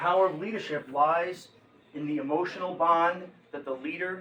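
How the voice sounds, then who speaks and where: Ordinary pitch variation marks this man's speech. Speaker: motivational speaker on leadership. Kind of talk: talk to business audience. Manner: fast; animated.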